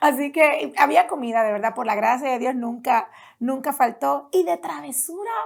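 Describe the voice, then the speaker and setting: Her high-pitched voice swings very widely in pitch as the woman speaks. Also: moderate pace. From Puerto Rico, Las Piedras.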